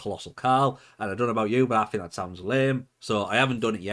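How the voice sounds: Here a natural reading voice comes through.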